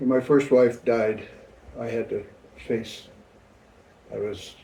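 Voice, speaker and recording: A man speaks at a fairly slow pace with a medium pitch. His tone is dark and mellow, and somewhat breathy. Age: 70s. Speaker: grandfather being interviewed. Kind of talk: family interview. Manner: halting.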